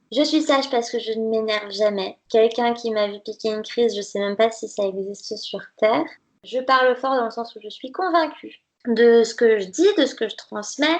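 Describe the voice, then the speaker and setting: In an ordinary speaking voice, a woman with fairly high pitch talks at a moderate pace, with ordinary pitch variation and big swings in loudness. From France, Nantes (Brittany). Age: 20s. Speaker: dietitian. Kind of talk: podcast interview.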